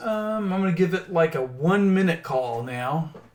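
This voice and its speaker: With a Southern accent, a man talks at a fairly slow pace. His pitch swings very widely. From Oklahoma. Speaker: stock trader and crypto chart analyst. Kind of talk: casual livestream chat.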